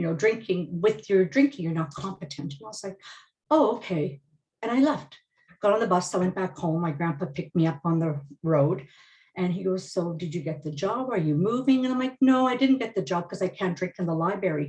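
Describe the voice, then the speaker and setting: A woman speaks at medium pitch with lively intonation and a fairly quick pace. Her voice is somewhat breathy. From Manitoba reserve, Canada. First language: Ojibwe. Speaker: media professional. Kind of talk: webinar panel discussion.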